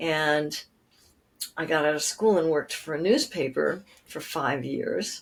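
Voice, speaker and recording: A woman talks at a moderate pace in a plain, everyday voice. Her pitch variation is ordinary. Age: 60s. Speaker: nature writer and author. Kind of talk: interview conversation.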